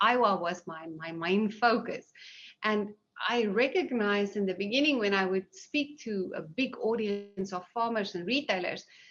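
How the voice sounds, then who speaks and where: With a strong South African accent, a woman talks at a moderate pace and a medium pitch, with ordinary pitch variation. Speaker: seed industry executive. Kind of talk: panel Q&A.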